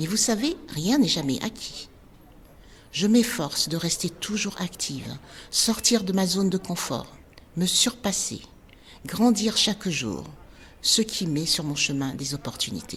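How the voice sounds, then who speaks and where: Very wide pitch swings mark this woman's somewhat breathy, medium-pitched voice. She goes at a very slow pace with long, frequent pauses. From Benin. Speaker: dance teacher, former journalist. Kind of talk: personal storytelling podcast.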